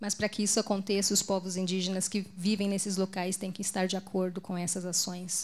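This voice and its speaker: A woman's somewhat breathy voice sits at a medium pitch with monotone, flat intonation. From Brazil, Mato Grosso do Sul. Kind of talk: conference talk. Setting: stage at a pulpit with audience and interpreter. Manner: deliberately more restrained for the translator.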